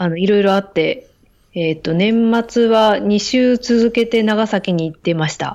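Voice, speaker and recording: A woman with an ordinary speaking voice talks at a moderate pace, her pitch fairly high with ordinary variation, against a quiet background. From Hokkaido, Japan. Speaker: doctor and graduate student. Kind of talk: casual chat.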